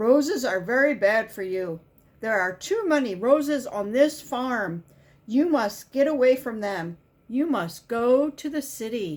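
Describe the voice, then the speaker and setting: Using a put-on character voice, a woman with a high pitch speaks at a fairly slow pace with very wide pitch swings. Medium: read story.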